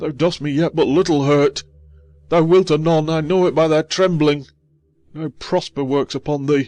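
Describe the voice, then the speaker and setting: Faint music plays in the background as a man does a put-on character voice. He speaks at a moderate pace in a fairly high pitch. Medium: audio drama. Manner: fearful, groveling.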